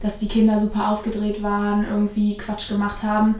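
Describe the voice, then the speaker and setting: Someone speaks at a fairly quick pace, with noticeable background noise and audible room echo. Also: woman. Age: 20s. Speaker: rhönrad coach and student. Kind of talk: casual interview.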